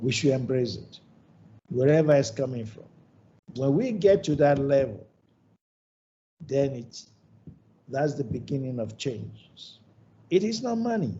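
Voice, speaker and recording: A man's somewhat breathy, fairly high voice at a fairly slow pace, with lively intonation, big swings in loudness and long, frequent pauses. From Nigeria. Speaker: ophthalmologist, hospital founder. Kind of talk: lecture.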